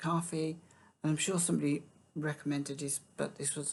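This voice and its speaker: Soft-spoken, a woman talks with a British accent. Her very deep, low pitch stays monotone and flat. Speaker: music reaction youtuber. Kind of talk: casual chat. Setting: at home, early morning. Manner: halting.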